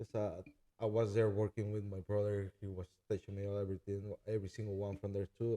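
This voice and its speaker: A man with a Spanish accent speaks at a fairly low pitch and a moderate pace, his tone dark and mellow. His intonation is monotone and flat, and the sound is dry and close with no echo. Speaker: chef and food truck owner. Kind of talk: casual interview. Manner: halting.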